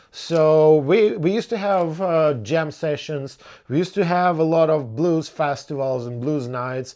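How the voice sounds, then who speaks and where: A man speaks in a Ukrainian accent, his tone dark and mellow. His pace is fairly slow. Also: fairly high pitch for a man, ordinary pitch variation. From Ukraine. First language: Ukrainian or Russian. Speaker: blues musician. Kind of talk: casual Q&A podcast monologue. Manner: hesitant, many fillers and repetitions.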